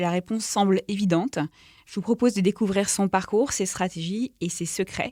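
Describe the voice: At a medium pitch, a woman talks at a moderate pace with ordinary pitch variation.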